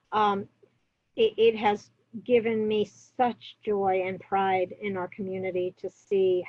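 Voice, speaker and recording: With monotone, flat intonation, a woman talks at a medium pitch. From New York. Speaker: public health officer. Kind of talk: interview. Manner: many fillers and hesitations.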